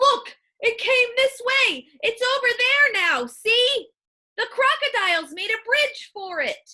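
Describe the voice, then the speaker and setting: A woman's put-on character voice, squeaky and extremely high, shouting in a raised, projected voice at a fairly slow pace. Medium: read story.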